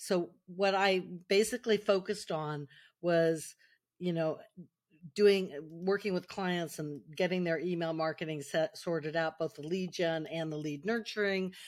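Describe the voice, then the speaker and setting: Here a woman with an American accent has a normal speaking voice, fairly low in pitch. The recording is very clean, with a silent background. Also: fairly even intonation. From US West Coast, Silicon Valley. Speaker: marketer and author. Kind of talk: interview.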